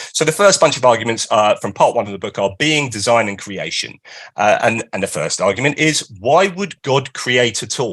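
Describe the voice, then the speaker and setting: A man speaks at a moderate pace with an British accent and lively intonation. The background is quiet. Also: medium pitch for a man. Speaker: author and philosopher giving a talk. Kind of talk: lecture. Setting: live stream.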